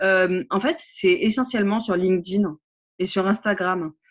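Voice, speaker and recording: A woman's medium-pitched voice at a very slow pace, dry and close with no echo, against a quiet background. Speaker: social media trainer and coach. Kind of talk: casual interview chat. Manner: animated, engaged.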